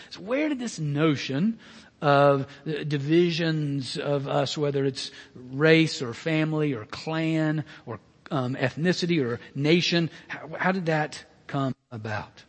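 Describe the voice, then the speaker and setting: Speaking very slowly with an Alabama accent, a man with a fairly high pitch uses ordinary pitch variation over noticeable background noise. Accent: Southern US (Alabama). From US South, Birmingham, Alabama. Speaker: pastor. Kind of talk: sermon. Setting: church. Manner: halting, many fillers.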